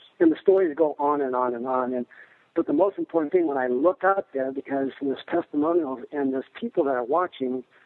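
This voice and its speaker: A man talks at a fairly quick pace with a fairly high pitch and ordinary pitch variation. He has a normal speaking voice. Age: 60s. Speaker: martial arts instructor. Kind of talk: interview answer.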